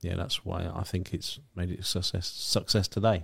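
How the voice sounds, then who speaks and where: A man talks at a fairly quick pace in a very deep, low, somewhat breathy voice. The recording is very clean, with a silent background. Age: 30s. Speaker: company director. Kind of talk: casual chat.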